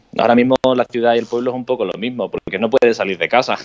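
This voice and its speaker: The man talks very fast, his pitch sitting in the medium range. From Spain. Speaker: interviewee on quarantine life. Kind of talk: interview over live video.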